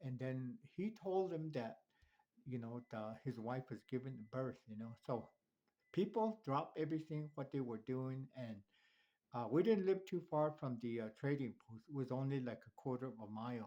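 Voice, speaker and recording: A man speaks in a Southwestern US accent with lively intonation. His tone is dark and mellow. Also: medium pitch for a man, moderate pace. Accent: Navajo-accented English. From Navajo Nation, New Mexico. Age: 70s. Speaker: elder telling life story. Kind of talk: personal life story. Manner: halting.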